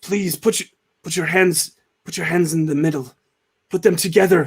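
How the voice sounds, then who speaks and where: Putting on a character voice, a man sounds raspy and high-pitched, keeping his intonation fairly even. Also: moderate pace. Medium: actual play. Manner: pleading.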